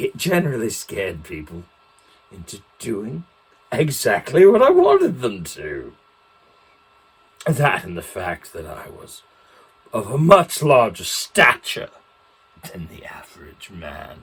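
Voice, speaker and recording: In a put-on character voice, the speaker goes at a fairly slow pace, with long, frequent pauses. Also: man, medium pitch for a man. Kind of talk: in-character storytelling talk.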